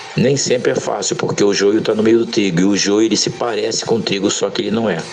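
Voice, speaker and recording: A man at a medium pitch talking at a very fast pace with ordinary pitch variation, amid audible room echo and noticeable background noise. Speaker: pastor. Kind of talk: sermon. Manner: unscripted, occasional stumbles.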